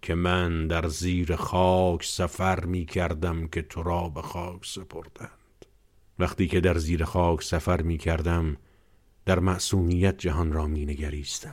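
A man's very deep, low voice, monotone and flat, at a fairly slow pace. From Iran. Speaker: podcast host. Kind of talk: poetry reading aloud.

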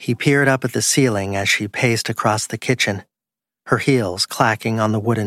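The background stays quiet. Someone reads in a natural voice, the pitch varying in an ordinary way.

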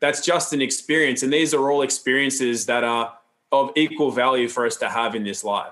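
A man with an Australian accent, bright, sharp tone and medium pitch, at a fairly quick pace with ordinary pitch variation. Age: 40s. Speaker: health educator and seminar founder. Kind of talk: interview conversation. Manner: calm, grounded.

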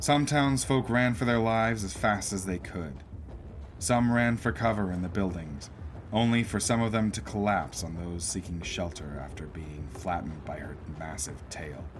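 A man with a very deep, low voice, somewhat breathy, speaks with lively intonation. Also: moderate pace. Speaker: podcast host and narrator. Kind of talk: scripted narration of western and fantasy fiction, with a host intro. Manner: dramatic storyteller, folksy, theatrical; animated, playful, tongue-in-cheek.

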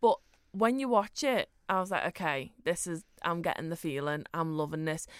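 The recording is very clean with a silent background. The speech moves at a moderate pace. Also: woman. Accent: Liverpool. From Liverpool, England. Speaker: podcast co-host. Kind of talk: casual chat.

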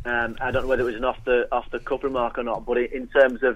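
A man talks at a fairly quick pace in an ordinary speaking voice, his pitch medium. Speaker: Sunderland broadcaster. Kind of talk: casual football chat. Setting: phone call.

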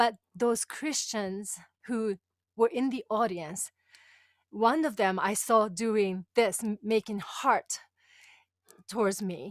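In a very clean recording with a silent background, a woman with a fairly high voice speaks with long, frequent pauses. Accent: Japanese. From Japan. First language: Japanese. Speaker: women's empowerment coach. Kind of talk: interview, personal testimony.

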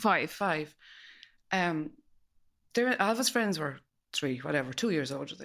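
At a fairly quick pace, a woman speaks with a western Irish accent. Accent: Irish, west of Ireland. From west of Ireland. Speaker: host's mother. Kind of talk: casual chat.

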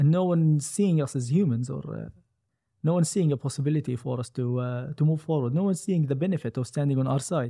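With an Arabic accent, a man speaks very fast in a somewhat breathy voice, with a fairly high pitch, dark, mellow tone and ordinary pitch variation. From Gaza, Palestine. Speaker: software developer. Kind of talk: interview. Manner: hesitant, many fillers.

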